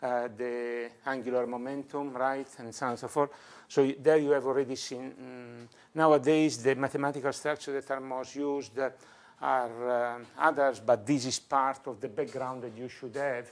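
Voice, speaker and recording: A man at medium pitch and moderate pace, monotone and flat, with big swings in loudness. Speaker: professor. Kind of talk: lecture. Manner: halting, many fillers.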